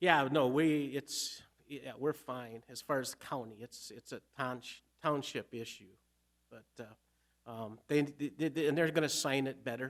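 A man speaks at a medium pitch. His pace is fairly slow, with ordinary pitch variation.

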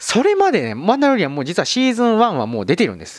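A man speaks at a very fast pace in a high pitch with very wide pitch swings. The sound is dry with no echo, over a quiet background. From Kagawa, Shikoku, Japan. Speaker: film YouTuber; film channel host. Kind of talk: video monologue explaining a streaming service. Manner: polite, somewhat formal with fillers. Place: home room. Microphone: handheld.

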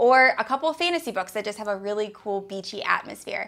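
The speaker talks at a fairly quick pace with lively intonation and an upbeat tone. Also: woman. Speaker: book reviewer. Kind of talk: casual talk to camera. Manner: upbeat, chatty.

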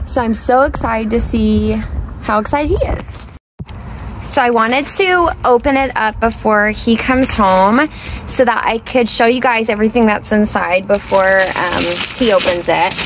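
A woman talks at a moderate pace with ordinary pitch variation, in a dry sound with no echo over light background noise. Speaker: parent vlogger. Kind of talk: casual vlog chat. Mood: excited, cheerful. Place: street. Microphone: phone near.

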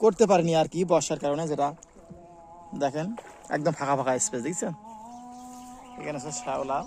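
With an ordinary speaking voice, a man talks fairly high in his range, his pitch shifting in an ordinary way. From Bangladesh, border area near the Sonai river. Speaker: village life vlogger. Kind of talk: walking video tour, addressing viewers. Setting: outdoors in rice fields.

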